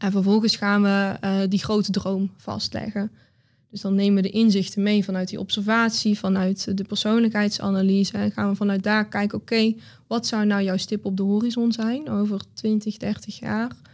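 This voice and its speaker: The woman's voice is somewhat breathy and sits at a medium pitch. Her intonation stays monotone and flat. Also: very clean recording, silent background. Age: 20s. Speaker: business coach. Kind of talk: interview conversation. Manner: hesitant, many fillers.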